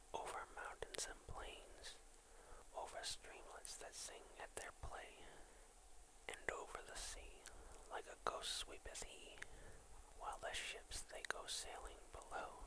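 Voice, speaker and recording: Whispered male speech, fairly slow, broken by long, frequent pauses, over noticeable background noise. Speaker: ASMR video creator. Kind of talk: children's poetry reading. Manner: whispered, soft.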